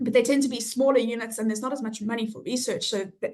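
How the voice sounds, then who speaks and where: A woman with a South African accent, fairly high in pitch, with fairly even intonation and a fairly quick pace. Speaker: health economics researcher. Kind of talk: interview. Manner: hesitant, many fillers.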